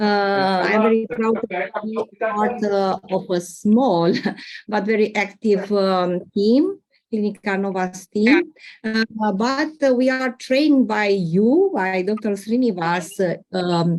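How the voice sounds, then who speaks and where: A woman with a Romanian accent speaks at a very slow pace with ordinary pitch variation. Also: medium pitch for a woman. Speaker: doctor. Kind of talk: case presentation. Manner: hesitant, many fillers.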